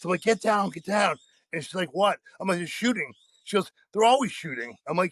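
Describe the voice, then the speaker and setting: A loud man talks at a very fast pace. His pitch varies ordinarily, and the sound is dry and close with no echo. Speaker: powerlifter. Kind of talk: casual chat.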